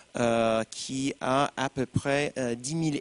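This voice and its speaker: A man with fairly even intonation in a dry, close sound with no echo. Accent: American. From United States. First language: English (speaking French). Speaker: alumni association president. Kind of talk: panel talk.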